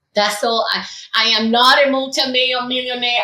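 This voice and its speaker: In a Cuban accent, a woman uses a raised, projected voice at a high pitch with fairly even intonation, and the room echo is audible. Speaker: educator. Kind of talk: interview testimony. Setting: podcast.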